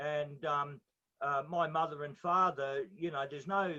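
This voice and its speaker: In an Australian accent, a man speaks at a fairly high pitch with a bright, sharp tone. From Australia, Brisbane. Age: 60s. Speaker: interviewee sharing life story. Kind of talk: interview testimony. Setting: on a boat at sea.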